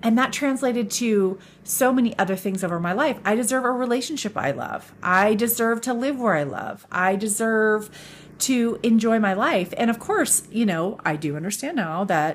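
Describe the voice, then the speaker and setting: On a very clean recording with a silent background, a woman with a Californian accent speaks at a fairly slow pace with ordinary pitch variation. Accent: American (Californian). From Northern California. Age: 50s. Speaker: podcast host. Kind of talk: solo monologue podcast.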